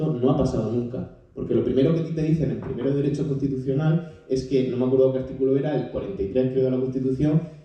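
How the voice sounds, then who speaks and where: A man talking very fast at a medium pitch, with hardly any pauses, fairly even intonation and noticeable background noise. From Spain, Murcia. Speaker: audience member, young climate activist and law student. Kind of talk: audience question in public debate. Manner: halting, many repetitions.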